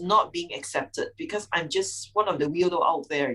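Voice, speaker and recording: A woman speaks in a fairly low voice at a moderate pace. Her tone is bright and sharp. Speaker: public speaker. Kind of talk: casual chat. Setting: video call.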